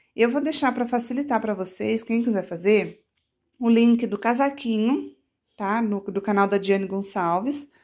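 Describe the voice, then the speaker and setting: A woman with a plain, everyday voice speaks at a moderate pace and a fairly high pitch with ordinary pitch variation against a quiet background. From Brazil, São Paulo state (Catanduva); São Paulo state, Brazil. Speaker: crochet artisan and YouTuber; YouTuber. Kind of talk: casual show-and-tell tutorial. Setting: at home in her bedroom. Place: home room. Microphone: phone near.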